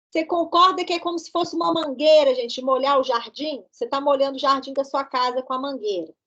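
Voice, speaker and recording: A woman speaks with a high pitch at a fairly quick pace. She leaves hardly any pauses. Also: ordinary pitch variation. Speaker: pathology professor. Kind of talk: lecture. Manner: interactive, questioning students.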